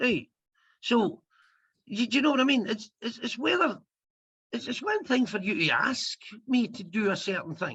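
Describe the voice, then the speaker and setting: At a moderate pace, a man with a Scottish accent uses an extremely high pitch, lively intonation, and a bright, sharp tone, with long, frequent pauses. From Scotland. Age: 50s. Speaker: comedian. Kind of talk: interview.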